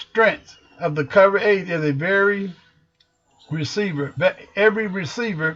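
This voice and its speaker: A man with an American accent at a fairly slow pace, his pitch varying in an ordinary way. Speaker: football coach. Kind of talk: tutorial.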